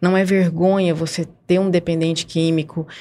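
A woman talks at a fairly quick pace with a fairly low pitch and a dark, mellow tone. Her intonation is monotone and flat. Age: 40s. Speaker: volunteer with a family support group for addiction. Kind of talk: radio interview.

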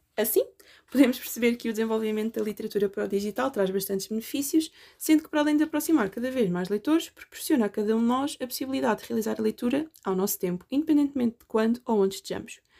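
In a very clean recording with a silent background, a woman with a European Portuguese accent talks very fast in a dark, mellow tone, her fairly high voice full of lively intonation. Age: 20s. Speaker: university student. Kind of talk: scripted narration.

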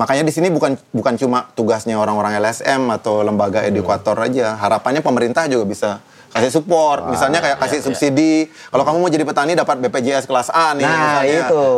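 A man speaks at a very fast pace. He hardly pauses at all. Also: medium pitch for a man, ordinary pitch variation. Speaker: rock band vocalist and activist. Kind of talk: casual interview conversation.

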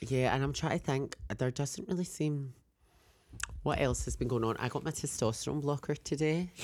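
This voice moves at a moderate pace, with an animated tone and ordinary pitch variation. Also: woman, very deep, low pitch for a woman. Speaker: podcast co-host. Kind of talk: casual chat. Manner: animated, camp, joking.

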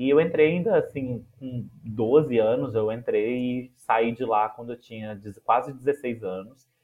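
Speaking at a very slow pace with hardly any pauses, a man of medium pitch shows big swings in loudness and ordinary pitch variation. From Minas Gerais, Brazil. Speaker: music educator and researcher. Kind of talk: interview conversation.

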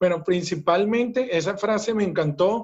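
A man with a Venezuelan accent. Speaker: business coach. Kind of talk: interview conversation. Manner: animated, forceful.

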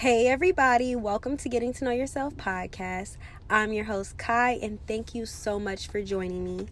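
An unremarkable speaking voice with an American accent at a moderate pace. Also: woman, fairly high pitch for a woman, ordinary pitch variation. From Chicago South Side. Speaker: podcast host. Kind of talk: scripted intro; casual interview.

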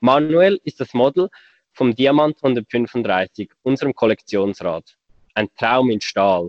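This man speaks in a Swiss German accent at a medium pitch. His pace is very slow, and his intonation is lively. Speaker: podcast co-host, bicycle company employee. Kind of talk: casual chat.

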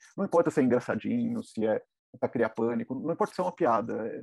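Very fast and swinging very widely in pitch, a man's dark, mellow voice sounds dry and close with no echo. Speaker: freelance foreign correspondent. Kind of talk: interview testimony.

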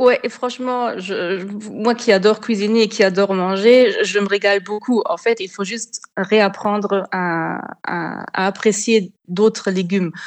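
A normal speaking voice from a woman, medium in pitch, fairly slow, with fairly even intonation over a quiet background. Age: 30s. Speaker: food blogger. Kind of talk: interview.

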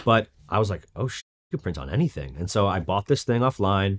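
A man talks at a fairly quick pace and a fairly low pitch, in a normal speaking voice. The recording is very clean, with a silent background. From New York, moved to California as a teen. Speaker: streetwear brand founder. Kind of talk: interview. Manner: casual, filler-heavy speech.

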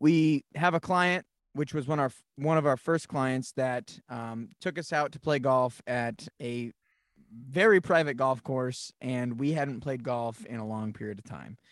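A man with a plain, everyday voice speaks at a medium pitch and a fairly slow pace with ordinary pitch variation, on a very clean recording with a silent background and a dry, close sound with no echo. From New England, Massachusetts. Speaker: podcast co-host, creative business owner. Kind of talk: casual chat.

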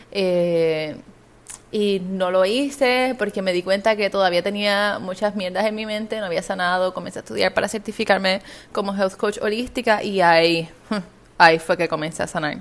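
The speaker is a woman with a medium-pitched voice. She talks at a moderate pace with ordinary pitch variation. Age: 20s. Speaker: podcast host and business coach. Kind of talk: solo podcast monologue. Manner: animated.

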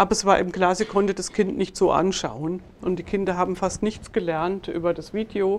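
A woman with an ordinary speaking voice, medium pitch, moderate pace and fairly even intonation. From Germany, northern Hesse near Marburg. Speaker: professor and intelligence researcher. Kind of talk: interview.

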